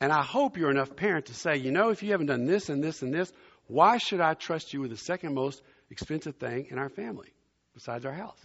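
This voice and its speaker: Talking at a very fast pace, a man with a fairly high pitch sounds animated, with lively intonation and big swings in loudness. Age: 60s. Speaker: visiting pastor. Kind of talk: sermon. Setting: church.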